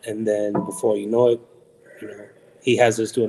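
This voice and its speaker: A man with a Puerto Rican accent, medium pitch, moderate pace and monotone, flat intonation. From Puerto Rico. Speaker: professional wrestler. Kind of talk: podcast interview.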